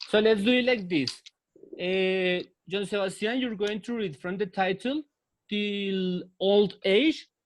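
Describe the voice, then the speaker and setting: Speaking at a very slow pace, a man with a high pitch and a Spanish accent uses ordinary pitch variation. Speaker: English teacher. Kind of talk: online English class. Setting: video call.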